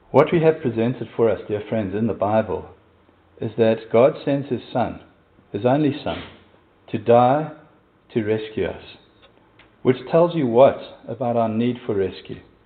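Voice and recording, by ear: A man speaks at a fairly slow pace and medium pitch, with lively intonation and a slightly husky edge.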